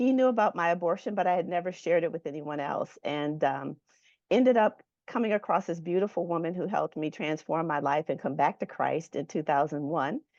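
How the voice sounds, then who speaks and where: Against a quiet background, a woman with an American accent speaks in a plain, everyday voice, fairly low in pitch, at a fairly quick pace with lively intonation. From Michigan. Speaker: nurse and ministry founder. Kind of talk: testimony.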